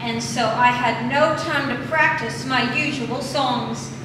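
A woman speaks at a very slow pace. Audible room echo and noticeable background noise fill the recording. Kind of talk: stage banter before a song. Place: bar. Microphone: camera far.

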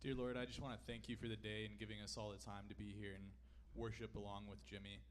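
A man speaks at a fast pace. There is little pitch movement. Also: fairly low pitch for a man.

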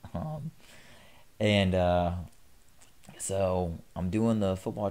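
In an American accent, a man speaks very slowly with a very deep, low pitch and a dark, mellow tone. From US South. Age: 20s. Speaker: fitness YouTuber and incoming physical therapy student. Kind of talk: pre-recorded motivational monologue. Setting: solo home recording. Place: home room. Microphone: studio mic.

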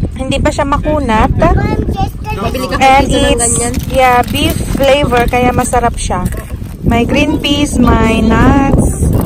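Over loud background noise, a woman speaks at a very slow pace with long, frequent pauses in a dry sound with no echo. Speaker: family vlogger. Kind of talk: casual vlog chat. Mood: cheerful, light laughter. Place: beach. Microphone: phone near.

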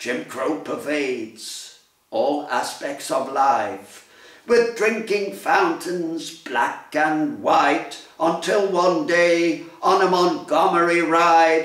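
Against a quiet background with audible room echo, a man talks at a very slow pace in a high pitch with lively intonation. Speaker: poet. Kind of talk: poetry reading. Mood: solemn, commemorative. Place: home room. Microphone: phone near.

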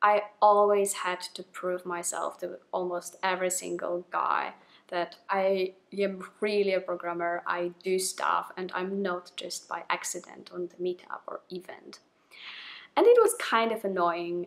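A woman with a non-native accent talks with big swings in loudness. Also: fairly slow pace. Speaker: programmer. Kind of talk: casual talk to camera. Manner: excited, nervous. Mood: warm, excited, smiling. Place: home room.

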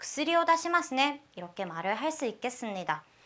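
This woman's voice is high-pitched. Her pitch swings very widely. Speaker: language teacher. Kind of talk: lecture.

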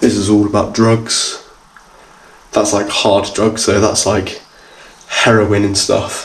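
A man at a fairly low pitch and a very slow pace. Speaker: urban explorer vlogger. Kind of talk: casual vlog chat. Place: empty room. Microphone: phone near.

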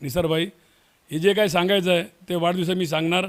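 Speaking with fairly even intonation, a man uses a high pitch. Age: 60s. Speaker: local politician. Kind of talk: interview.

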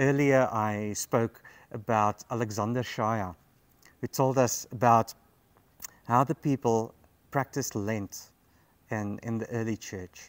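Slow and broken by long, frequent pauses, a man's fairly low voice keeps a fairly even intonation.

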